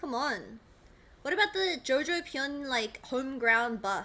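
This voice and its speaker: Her voice is high-pitched, bright and sharp, raised and projected, and animated, with very wide pitch swings as the woman speaks at a fairly slow pace. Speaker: esports streamer. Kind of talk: casual live stream chat. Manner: loud.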